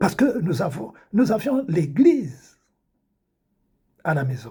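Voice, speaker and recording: A man talks at a very slow pace with a high pitch and a dark, mellow tone. His pitch swings very widely. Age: 70s. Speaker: preacher. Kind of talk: religious testimony monologue. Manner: repetitive, halting.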